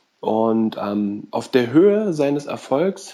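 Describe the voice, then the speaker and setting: The man's tone comes across as dark and mellow. He talks in a medium pitch. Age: 30s. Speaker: podcast guest, film reviewer. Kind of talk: casual chat.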